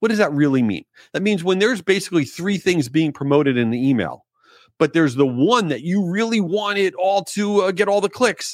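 A man with an American accent talks fairly quickly in a high pitch, with lively intonation and an animated tone. The recording is very clean and dry, close with no echo, over a silent background. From New York and Florida. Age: 40s. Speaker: podcast host. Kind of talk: solo podcast monologue.

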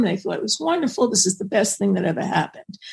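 Somewhat breathy, a woman talks at a fairly high pitch. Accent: American. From New York. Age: 70s. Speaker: psychotherapist and author. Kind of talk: interview.

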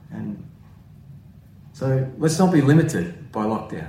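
A man's dark, mellow, somewhat breathy voice with very wide pitch swings and audible room echo. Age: 40s. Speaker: pastor. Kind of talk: sermon. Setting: at home.

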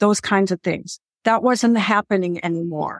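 In a very clean recording with a silent background and a dry, close sound with no echo, a woman with an American accent speaks at a medium pitch with ordinary pitch variation. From US Midwest. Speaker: retired financial planner and author. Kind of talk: interview conversation.

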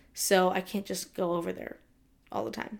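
A woman speaks in an American accent at a medium pitch. Vocal fry runs through her voice. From Southern California. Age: 20s. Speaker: podcast host. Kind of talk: casual solo talk. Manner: casual, many fillers (um, like).

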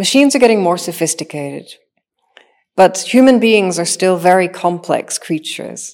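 Lively intonation and long, frequent pauses mark a woman's speech at medium pitch, with a Northern Irish accent. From Northern Ireland. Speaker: machine intelligence engineer. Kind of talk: interview. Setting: studio.

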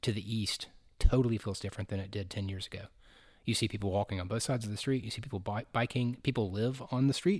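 On a very clean recording with a silent background, a somewhat breathy man talks at a very fast pace with ordinary pitch variation. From Chattanooga, Tennessee. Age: 50s. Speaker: city design official. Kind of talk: casual interview.

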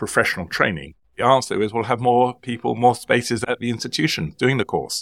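Recorded very cleanly with a silent background and a dry, close sound with no echo, a man speaks at a moderate pace in medium pitch with an unremarkable speaking voice. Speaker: lawyer and podcast host. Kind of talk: interview.

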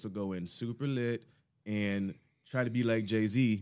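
A man talks in an ordinary speaking voice at a medium pitch. His pitch variation is ordinary. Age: 30s. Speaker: podcast host and studio owner. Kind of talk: casual podcast interview. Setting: studio.

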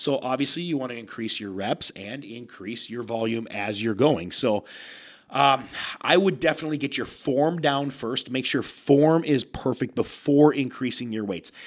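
A man's animated voice at a medium pitch and moderate pace, on a very clean recording with a silent background. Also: ordinary pitch variation. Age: 30s. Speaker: bodybuilder and fitness podcast host. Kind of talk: casual solo podcast Q&A.

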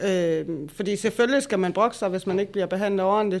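On a very clean recording with a silent background, a woman uses an ordinary speaking voice with fairly even intonation. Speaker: interviewer and drug user activist. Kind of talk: interview, discussion.

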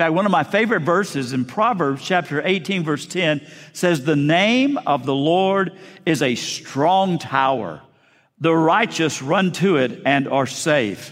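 Lively intonation marks this man's unremarkable speaking voice, which sits fairly high in pitch. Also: fairly slow pace. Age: 60s. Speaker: pastor. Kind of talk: sermon. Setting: church.

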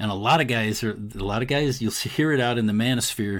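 With a plain, everyday voice, a man speaks at a fairly quick pace and medium pitch with ordinary pitch variation on a very clean recording with a silent background. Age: 60s. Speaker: marriage and family therapist. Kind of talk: interview conversation.

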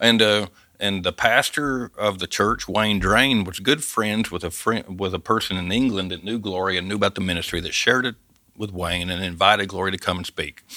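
With a Southern US accent, a man speaks at a fairly quick pace in a fairly low, bright, sharp voice with ordinary pitch variation. The recording is very clean, the background silent. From US South, Arkansas Ozarks. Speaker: missionary, former forestry worker. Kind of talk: testimony. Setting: studio.

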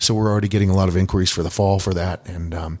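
On a very clean recording with a silent background, a man with a very deep, low pitch speaks at a very fast pace with ordinary pitch variation. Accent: American. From Colorado, Boulder. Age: 50s. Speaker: singer. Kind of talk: interview.

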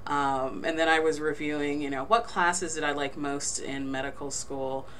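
With an American accent and a very deep, low pitch, a woman speaks at a moderate pace with fairly even intonation, amid noticeable background noise and audible room echo. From New Jersey. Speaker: forensic pathologist. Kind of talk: interview.

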